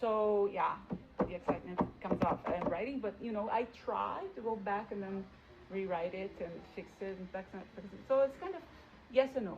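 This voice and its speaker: With a non-native accent, a woman talks with big swings in loudness and long, frequent pauses over noticeable background noise. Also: medium pitch for a woman, ordinary pitch variation, moderate pace. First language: not English. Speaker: teacher. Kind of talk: interview. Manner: animated; hesitant fillers.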